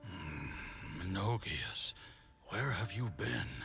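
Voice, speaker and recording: Over clear music in the background, a man growls in a put-on character voice, fairly low in pitch. He speaks at a very slow pace with very wide pitch swings. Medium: video game.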